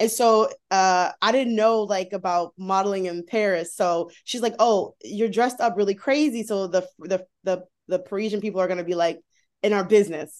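The speaker is a woman with an unremarkable speaking voice. Her pace is moderate and her pitch varies in an ordinary way. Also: medium pitch for a woman. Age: 30s. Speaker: plus size model and content creator. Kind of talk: casual interview chat.

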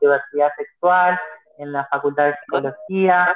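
A woman's fairly slow delivery with fairly even intonation. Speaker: activist. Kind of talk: interview. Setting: phone call. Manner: halting. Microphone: phone held far from mouth at first.

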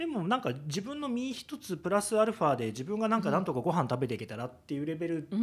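A man with a high pitch races at a very fast pace with very wide pitch swings and hardly any pauses. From Kyoto, Japan. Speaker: comedian and former bureaucrat. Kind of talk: casual chat.

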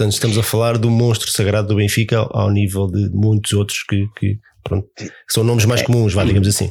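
At a fairly quick pace, a man speaks in a monotone at a fairly low pitch, somewhat breathy, with very even loudness. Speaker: podcast host. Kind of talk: casual chat.

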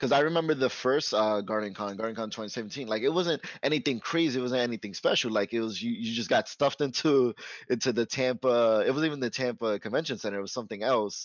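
His pitch is medium and varies in an ordinary way. The man talks at a very fast pace. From New York, Puerto Rican family. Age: 20s. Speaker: pastry chef and streamer. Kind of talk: casual chat. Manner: animated.

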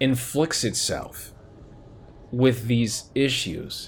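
The man's voice sits at a medium pitch. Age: 30s. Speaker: podcast host. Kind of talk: solo commentary monologue. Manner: animated.

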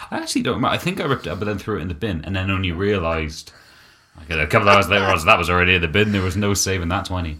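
At a very fast pace, a man with a British accent and a very deep, low pitch speaks with fairly even intonation. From UK. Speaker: podcast co-host. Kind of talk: casual chat.

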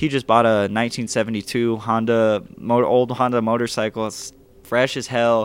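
This man has an American accent and a plain, everyday voice, talking at a medium pitch and a moderate pace. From Phoenix, Arizona. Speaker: vintage clothing store owner. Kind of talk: casual chat.

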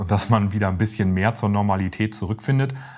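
This man has an ordinary speaking voice, fairly low in pitch, with fairly even intonation and a fairly quick pace. The recording is very clean, with a silent background. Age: 40s. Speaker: pension insurance advisor. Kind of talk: interview.

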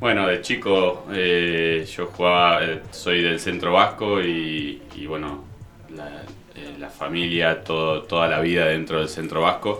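Very deep, low male voice in an Argentine accent, very slow and fairly even in intonation, with audible room echo and noticeable background noise. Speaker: elite pelota paleta player. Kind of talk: interview.

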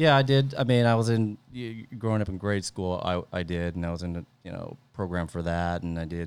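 A man with an American accent talks at a fairly quick pace, his pitch very deep and low with ordinary variation. The recording is very clean and the background silent. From Northern California Central Valley. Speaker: marketing professional. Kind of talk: casual interview.

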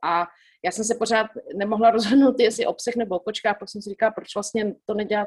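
Her intonation fairly even, a woman talks at a fairly high pitch in an unremarkable speaking voice. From Czech Republic, Prague. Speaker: magazine editor and animal shelter runner. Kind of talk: interview.

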